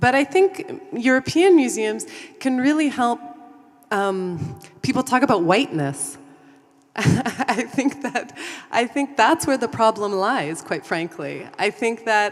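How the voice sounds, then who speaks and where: The voice moves very slowly through very wide pitch swings, with noticeable background noise behind it. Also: woman, high pitch for a woman. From Canada. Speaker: museum consultant. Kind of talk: panel discussion.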